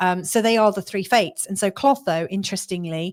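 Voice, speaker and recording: In a very clean recording with a silent background, a woman of medium pitch talks at a fairly quick pace with a southeast English accent. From southeast England. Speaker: astrologer. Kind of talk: astrology forecast talk. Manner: casual, with many fillers and restarts.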